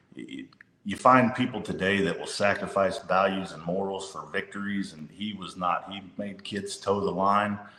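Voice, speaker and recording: A man with an American accent talks at a fairly low pitch and a moderate pace, with fairly even intonation. His loudness swings widely, and noticeable noise sits in the background. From northern Louisiana (Monroe). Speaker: high school basketball coach. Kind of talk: interview conversation.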